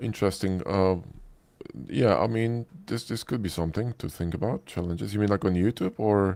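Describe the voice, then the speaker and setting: In a Polish accent, a man with a fairly low voice speaks at a moderate pace with ordinary pitch variation, on a very clean recording with a silent background. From Poland. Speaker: 3D modeling instructor. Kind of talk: live stream Q&A.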